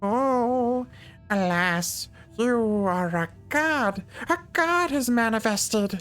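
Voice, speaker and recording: Over background music, a man performs a put-on, nasal character voice at an extremely high pitch. He speaks at a very slow pace with lively intonation and very even loudness. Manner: grandiose, theatrical.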